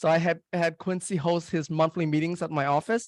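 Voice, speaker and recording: With no echo at all, a man's voice sounds dry and close while he talks at a moderate pace. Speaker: real estate investor and marketing expert. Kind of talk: webinar presentation. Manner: halting, many fillers.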